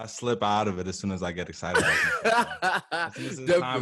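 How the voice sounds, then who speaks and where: A man at a very fast pace, with big swings in loudness and noticeable background noise. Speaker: podcast host. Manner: drops the smooth delivery and gets animated when excited.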